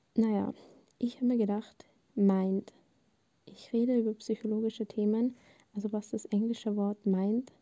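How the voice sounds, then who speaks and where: Dark, mellow tone at a fairly slow pace, with monotone, flat intonation and a dry, close sound with no echo. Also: woman. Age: 20s. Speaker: podcast host, media management student. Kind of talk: casual monologue, unscripted. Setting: home, on bed under a blanket. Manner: spontaneous, talkative.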